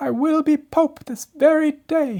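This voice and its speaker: Put-on character voice at a fairly slow pace and a high pitch. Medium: read story. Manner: imperious, demanding.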